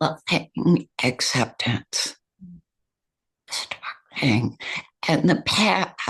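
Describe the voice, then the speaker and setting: Delivered at a very slow pace with long, frequent pauses, the speech has vocal fry and lively intonation. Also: woman, very deep, low pitch for a woman. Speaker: meditation teacher and author. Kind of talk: interview answer.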